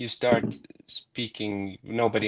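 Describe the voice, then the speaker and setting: Monotone, flat intonation from a man with a fairly low pitch and a Finnish accent, on a very clean recording with a silent background. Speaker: improv practitioner, guest. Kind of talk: live-streamed discussion. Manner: halting.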